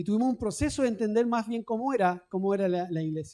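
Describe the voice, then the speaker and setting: The speech comes at a very fast pace in a Chilean accent. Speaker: pastor. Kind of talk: sermon.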